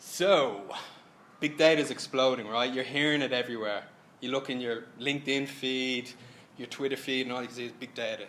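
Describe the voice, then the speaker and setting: A man's voice shows big swings in loudness. Audible room echo fills the recording. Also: medium pitch for a man. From Ireland. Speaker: software consultant. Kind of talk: tech presentation. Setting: stage with audience. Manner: casual, animated.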